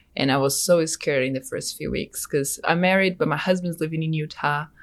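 A woman speaks with a Brazilian accent. Her pitch is very deep and low. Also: very clean recording, silent background. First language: Portuguese. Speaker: graduate student. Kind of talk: casual interview chat.

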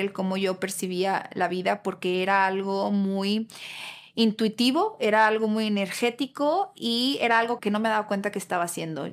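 The speech moves at a moderate pace in a normal speaking voice. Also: woman. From Mexico, Guadalajara. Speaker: podcast host. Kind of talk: personal monologue.

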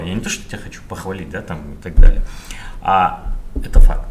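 A man speaks at medium pitch and a fairly quick pace, his pitch swinging very widely. Noticeable background noise and audible room echo surround him. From Kazakhstan, Karaganda. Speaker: podcast host. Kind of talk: interview.

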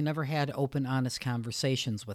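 A woman talks at a very fast pace. Her pitch is very deep and low. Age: 50s. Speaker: podcast host. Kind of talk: motivational solo podcast monologue. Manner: conversational, with hesitations.

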